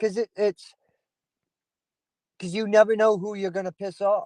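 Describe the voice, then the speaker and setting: The man's pitch is high, his tone dark and mellow. The sound is dry and close with no echo. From Maine, moved around US East Coast. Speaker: YouTube live streamer. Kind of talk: casual live-stream chat. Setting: outdoors. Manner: animated.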